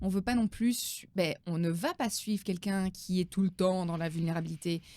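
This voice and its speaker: Her tone dark and mellow, a woman talks at a moderate pace and medium pitch with ordinary pitch variation, recorded very cleanly against a silent background. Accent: Belgian. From Belgium. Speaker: business coach. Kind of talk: interview.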